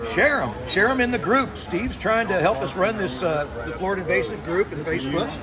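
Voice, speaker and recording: Amid noticeable background noise and audible room echo, a man speaks at a fairly quick pace with a high pitch and lively intonation. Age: 60s. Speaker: iguana hunter. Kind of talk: casual chat.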